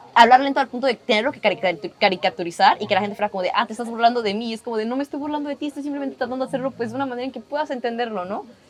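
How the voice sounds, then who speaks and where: With noticeable background noise behind her, a woman speaks very fast at a high pitch, with ordinary pitch variation and hardly any pauses. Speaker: podcast guest. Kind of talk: casual interview chat.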